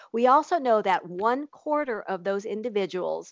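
A woman's fairly high, animated voice at a fairly slow pace, with lively intonation. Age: 50s. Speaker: nutritionist and podcast co-host. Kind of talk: casual chat.

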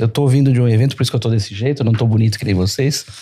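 A man's voice comes through in a very clean recording with a silent background. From Brazil, São Paulo. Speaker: entrepreneur. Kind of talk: podcast conversation.

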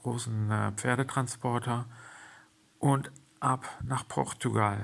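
A man talks very slowly, his intonation fairly even. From Germany. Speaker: podcaster and horse trainer. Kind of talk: personal monologue. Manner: hesitant, many fillers.

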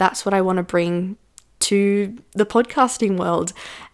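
Here a woman uses an ordinary speaking voice at medium pitch and a moderate pace. Her intonation is fairly even, and the recording is very clean with a silent background. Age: 20s. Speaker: business coach podcast host. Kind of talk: solo podcast monologue. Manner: casual, conversational.

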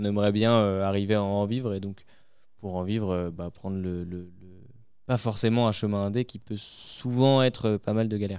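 On a very clean recording with a silent background, a man speaks at fairly low pitch with fairly even intonation. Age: young. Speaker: singer in a music duo. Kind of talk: radio interview. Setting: backstage at a music festival. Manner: hesitant, many fillers.

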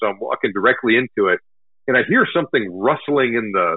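A man with an American accent and a plain, everyday voice, at a fairly quick pace with ordinary pitch variation. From Texas, north of Houston. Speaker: hunting blogger and army veteran. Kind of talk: interview. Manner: casual, filler-heavy.

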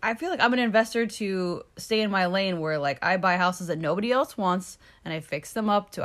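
A woman with an ordinary speaking voice, fairly low in pitch with ordinary pitch variation, talks at a moderate pace in a very clean recording with a silent background. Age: 40s. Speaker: real estate agent podcast co-host. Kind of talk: casual chat.

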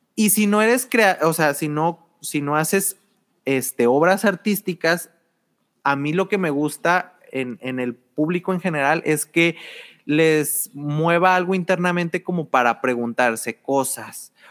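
Heard in a dry, close sound with no echo, a man with a fairly high pitch talks at a fairly slow pace in an ordinary speaking voice with ordinary pitch variation. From Mexico, Torreón (La Laguna). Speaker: art and design student. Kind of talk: casual chat.

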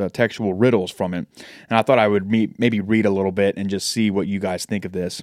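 This man has a normal speaking voice, fairly low in pitch, moving at a fairly quick pace with fairly even intonation on a very clean recording with a silent background. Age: 20s. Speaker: podcast co-host. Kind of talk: reading aloud researched notes.

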